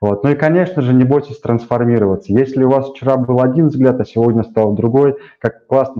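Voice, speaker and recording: A man speaks at a moderate pace in a medium pitch with ordinary pitch variation. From rural Russia. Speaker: show host. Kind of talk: casual interview. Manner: halting.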